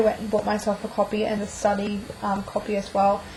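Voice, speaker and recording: A woman's voice carries a touch of breathiness. She talks rather briskly. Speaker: book vlogger. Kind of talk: casual video monologue. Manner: fast.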